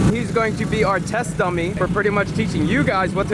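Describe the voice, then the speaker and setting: Loud and energetic, a man with a high pitch speaks at a fairly quick pace amid audible room echo and noticeable background noise. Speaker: motorcycle vlogger. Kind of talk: casual vlog talk to camera.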